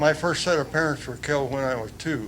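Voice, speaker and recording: A man's fairly high voice with ordinary pitch variation, in audible room echo. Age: 90s. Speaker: Korean War veteran. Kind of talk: speech at council meeting. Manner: halting.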